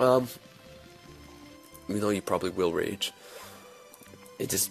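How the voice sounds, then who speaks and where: With ordinary pitch variation and a moderate pace, the voice comes through as music plays in the background. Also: man. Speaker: video game let's player. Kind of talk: let's play commentary. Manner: casual, rambling.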